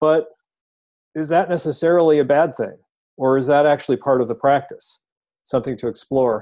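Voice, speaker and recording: A man's fairly high voice in a dark, mellow tone, fairly quick with long, frequent pauses and fairly even intonation. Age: 50s. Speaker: meditation meetup host. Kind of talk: casual group discussion. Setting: group meetup, in person and recorded.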